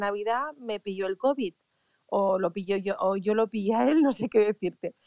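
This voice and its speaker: The woman has a plain, everyday voice at a medium pitch, with ordinary pitch variation. She speaks at a moderate pace, and the sound is dry and close with no echo. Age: 50s. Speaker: event organizer. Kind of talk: casual chat.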